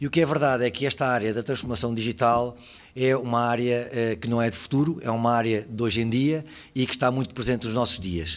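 A normal speaking voice from a man, mid-range in pitch, its pitch variation ordinary. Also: fairly quick pace. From Portugal. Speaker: lawyer and lecturer on digital law; lawyer, lecturer on digital law. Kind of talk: conference talk. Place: hall.

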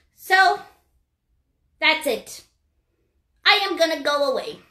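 A woman speaks in a put-on character voice that sounds croaky. Her pitch is extremely high and her pace fairly slow. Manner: teasing, playful, croaks 'rabbit' (ribbit).

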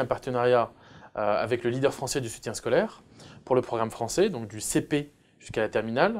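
A man talks at a moderate pace. His pitch is medium. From France. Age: 30s. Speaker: entrepreneur; guest. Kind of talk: interview. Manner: hesitant, many filler sounds. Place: studio. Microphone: lapel.

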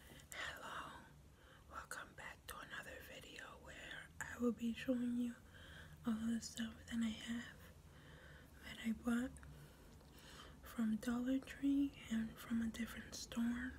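A soft-spoken woman whispers in a gentle tone at a fairly slow pace, leaving long, frequent pauses. There is light background noise. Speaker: ASMR creator. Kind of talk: ASMR product show-and-tell. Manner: soft, gentle whispering. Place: home room. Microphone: phone near.

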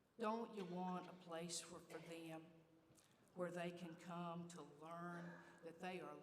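Audible room echo surrounds a woman speaking at a fairly low pitch in a monotone, flat delivery. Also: long, frequent pauses. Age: 60s. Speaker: church leader. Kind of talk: speech. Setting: church.

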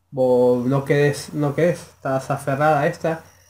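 Audible room echo surrounds this man as he speaks at a fairly slow pace. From Argentina. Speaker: YouTube reaction creator. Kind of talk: video reaction commentary. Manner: halting, many fillers. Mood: opinionated, scornful.

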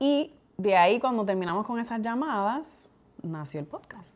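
A woman speaks in a Puerto Rican accent with lively intonation. Her pace is moderate. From Puerto Rico. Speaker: community leader and podcast co-host; podcast co-host. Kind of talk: casual interview chat. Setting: podcast recording. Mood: relaxed, storytelling. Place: home room.

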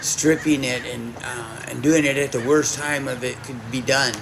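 Noticeable background noise behind a man at a moderate pace. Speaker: speaker. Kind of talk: informal talk to audience. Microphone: camera far.

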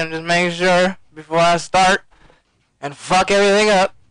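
A man speaks loudly. His pitch is high. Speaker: gaming commentator streamer. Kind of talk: live gameplay commentary. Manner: animated.

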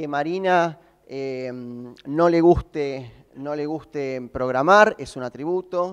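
A man speaks with an Argentine accent at a fairly high pitch for a man. His intonation is lively against a quiet background. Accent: Argentine Spanish (Rioplatense). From Argentina. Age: 20s. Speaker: software developer. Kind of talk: conference talk.

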